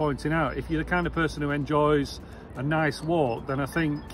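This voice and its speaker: Very fast speech with fairly even intonation comes through with a dry sound with no echo while music plays in the background. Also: man. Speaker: travel vlogger. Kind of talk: casual vlog chat. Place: street. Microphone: phone near.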